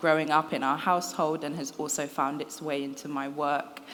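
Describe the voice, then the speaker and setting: A woman speaks with a London accent. Her pitch is very deep and low. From London, England. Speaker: writer. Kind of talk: interview. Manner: hesitant, many fillers.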